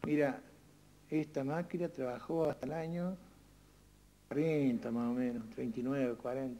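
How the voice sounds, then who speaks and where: A man talks at a moderate pace with a dark, mellow tone and fairly high pitch. His pitch varies in an ordinary way, with long, frequent pauses. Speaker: local elder, son of threshing machine owner. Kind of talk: interview reminiscence. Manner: halting.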